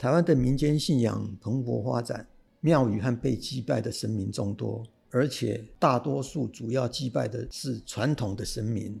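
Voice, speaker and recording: A man speaks at medium pitch with a dark, mellow tone, vocal fry and ordinary pitch variation. His pace is fairly slow, and the recording is very clean with a silent background. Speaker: retired civil servant and history writer. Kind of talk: interview storytelling.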